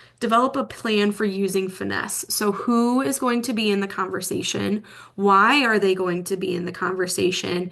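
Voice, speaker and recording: In a plain, everyday voice, a woman talks at a moderate pace. Her pitch sits at a medium level and varies in an ordinary way. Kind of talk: presentation.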